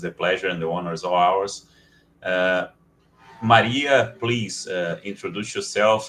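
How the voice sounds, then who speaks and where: A fairly low male voice amid noticeable background noise. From Brazil, Rio de Janeiro. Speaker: panel moderator, lawyer. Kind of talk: panel moderation.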